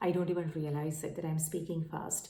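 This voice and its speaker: A woman's dark, mellow voice carries audible room echo. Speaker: tarot reader. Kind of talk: tarot reading monologue. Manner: many fillers, halting.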